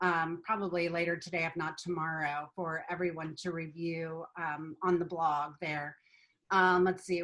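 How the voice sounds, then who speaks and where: A woman's fairly low voice in a flat monotone, with an American accent. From Ohio. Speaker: marketing company founder. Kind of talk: webinar presentation; webinar Q&A. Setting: online webinar. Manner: fast.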